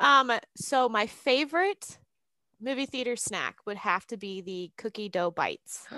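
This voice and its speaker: A woman speaks at a fairly slow pace in a fairly high pitch, her tone bright and sharp. Her intonation is lively, and her loudness swings widely. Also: dry, close sound with no echo, very clean recording, silent background. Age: 20s. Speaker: podcast guest. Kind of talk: casual chat.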